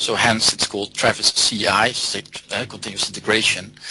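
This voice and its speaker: The man keeps a moderate pace while background noise remains noticeable. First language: not English or German. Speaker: software developer and theoretical biologist. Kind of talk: interview.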